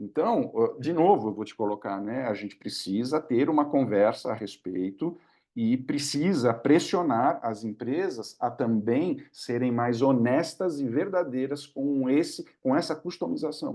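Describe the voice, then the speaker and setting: Over a quiet background, a dark, mellow voice speaks at a fairly slow pace with lively intonation. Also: man, medium pitch for a man. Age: 60s. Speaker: government digital policy official and speaker. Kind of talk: webinar Q&A answer. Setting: online webinar. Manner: conversational, with hesitations and repetitions.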